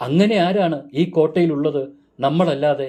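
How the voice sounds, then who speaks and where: A man in a put-on character voice talks at a moderate pace, his fairly high pitch sounding shaky. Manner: trembling, fearful.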